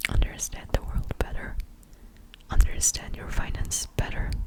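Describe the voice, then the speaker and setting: Someone is whispering at a moderate pace. Noticeable background noise comes through. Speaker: ASMR creator. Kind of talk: ASMR talking. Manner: soft-spoken.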